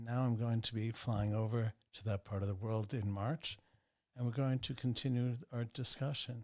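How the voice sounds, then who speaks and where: Recorded very cleanly against a silent background, a man with an ordinary speaking voice talks at a moderate pace, medium in pitch, with fairly even intonation. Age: 60s. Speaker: banker and businessman. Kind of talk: interview conversation.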